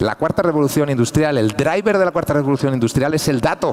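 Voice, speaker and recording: A man's fairly high voice with a European Spanish accent and lively intonation, over noticeable background noise. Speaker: engineer and conference speaker. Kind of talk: conference talk. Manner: fast.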